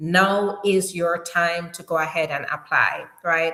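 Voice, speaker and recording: A woman speaks with a strong Jamaican accent. Her pace is fairly slow. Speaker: immigration attorney. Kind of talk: live stream Q&A. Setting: live stream. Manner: animated.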